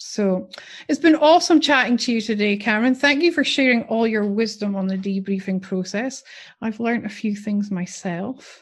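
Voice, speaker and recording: A woman with a fairly high, somewhat breathy voice talks at a moderate pace with lively intonation. The background is quiet. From UK. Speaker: podcast host and nurse educator. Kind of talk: casual interview.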